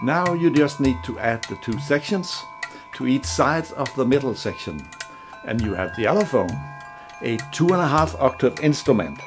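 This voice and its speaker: A man with a Danish accent talks at a medium pitch, his voice swinging very widely up and down. Music plays in the background. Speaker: musician and instrument inventor. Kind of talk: product demonstration.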